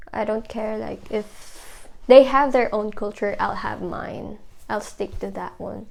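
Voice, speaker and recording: Vocal fry marks this woman's voice. She speaks at a fairly slow pace and a fairly high pitch. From Philippines. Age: 20s. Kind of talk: documentary interview answer.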